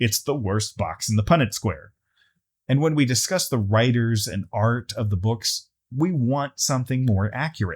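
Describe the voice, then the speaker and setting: A man with an American accent, somewhat breathy and at a moderate pace, in a very clean recording with a silent background. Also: medium pitch for a man, ordinary pitch variation. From Texas, US. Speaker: YouTuber, tabletop gaming commentator. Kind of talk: video essay commentary.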